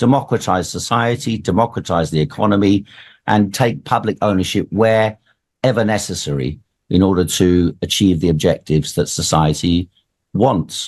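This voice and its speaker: A man's plain, everyday voice at a moderate pace, with ordinary pitch variation, very even loudness and a quiet background. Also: fairly low pitch for a man. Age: 60s. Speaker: political candidate. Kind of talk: radio interview.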